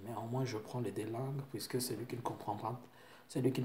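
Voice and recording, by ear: There is audible room echo as a man with a medium pitch and a slightly mellow tone talks at a fairly quick pace with little pitch movement.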